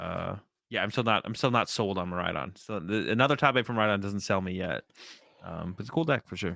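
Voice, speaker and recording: A man's fairly low voice, bright and sharp in tone, moves at a very fast pace with ordinary pitch variation. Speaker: podcast co-host and competitive card player. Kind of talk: casual chat. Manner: low energy.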